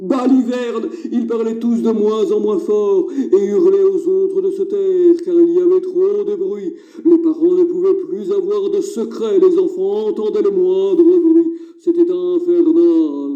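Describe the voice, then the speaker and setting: A cartoonish character voice, delivered fairly slowly. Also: man, extremely high pitch for a man. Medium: puppet. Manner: exasperated, scolding.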